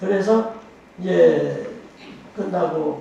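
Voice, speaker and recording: Noticeable background noise sits alongside audible room echo in this clip. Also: man. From Korea, Boryeong, South Chungcheong. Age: 80s+. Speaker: photographer. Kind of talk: interview talk on stage.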